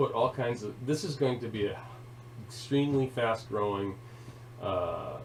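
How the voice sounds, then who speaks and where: A man's medium-pitched voice, fairly slow and fairly even in intonation, with audible room echo. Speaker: instructor training web content staff. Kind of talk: tutorial. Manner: hesitant with fillers.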